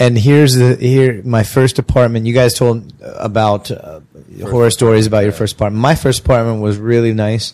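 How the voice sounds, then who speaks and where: With an American accent, the speaker has a dark, mellow tone, a fairly quick pace and fairly even intonation. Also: man, medium pitch for a man. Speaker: podcast co-host, teacher in Korea. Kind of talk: casual chat. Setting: bar.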